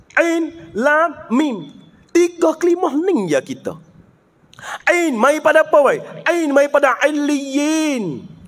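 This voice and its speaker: A man talks very slowly with an extremely high pitch and ordinary pitch variation, against a quiet background. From southern Thailand. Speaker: visiting religious teacher. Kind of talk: religious lecture. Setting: religious school gathering with students. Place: hall. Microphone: handheld.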